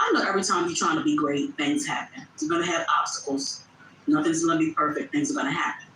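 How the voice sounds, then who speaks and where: A woman talks loudly and very fast in an animated tone, her pitch swinging very widely. Noticeable background noise sits behind her. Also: fairly low pitch for a woman. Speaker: content creator. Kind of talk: livestream chat.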